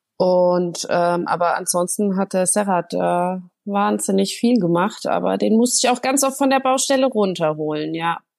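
With a normal speaking voice, a woman talks at a medium pitch and moderate pace, her intonation lively over a quiet background. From Germany, Hesse near Frankfurt. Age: 30s. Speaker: make-up artist and home renovator. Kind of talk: interview.

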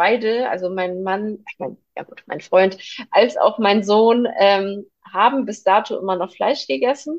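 A woman with a fairly high pitch speaks at a fairly slow pace with ordinary pitch variation in a plain, everyday voice. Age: 30s. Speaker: vegan nutrition consultant, mother. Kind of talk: casual interview chat.

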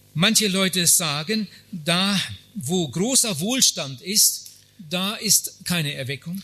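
Speaking at a very slow pace, a man with a high pitch uses a raised, projected voice and lively intonation. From Germany. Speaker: evangelist. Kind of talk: sermon. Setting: conference hall with audience. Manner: short phrases paused for interpreter.

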